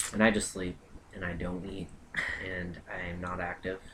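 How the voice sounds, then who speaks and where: A man's very deep, low voice in monotone, flat intonation at a fairly slow pace, amid noticeable background noise. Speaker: vlogger. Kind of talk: casual chat.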